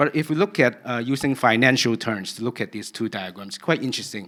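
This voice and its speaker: A man with medium pitch and ordinary pitch variation speaks at a fairly quick pace on a very clean recording with a silent background. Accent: Cantonese. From Cantonese-speaking region (Hong Kong/Guangdong). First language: Cantonese. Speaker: researcher giving a conference talk. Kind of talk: conference talk.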